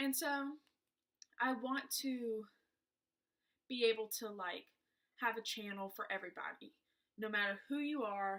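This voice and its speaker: Speaking in a strong Southern US accent, a woman uses a fairly high pitch, a bright, sharp tone, ordinary pitch variation, and a moderate pace broken by long, frequent pauses. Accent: thick Southern US. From US South, South Georgia. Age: 20s. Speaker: beauty vlogger. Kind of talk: casual chat. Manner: hesitant, many fillers.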